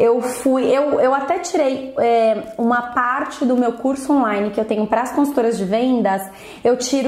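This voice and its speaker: A woman's high voice with ordinary pitch variation and a moderate pace, amid audible room echo and noticeable background noise. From Brazil. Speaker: beauty sales consultant and trainer. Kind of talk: vlog book review. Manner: casual, conversational with fillers.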